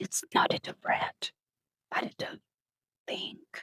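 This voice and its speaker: Someone whispers at a very slow pace. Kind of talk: ASMR whispered book reading. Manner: whispered.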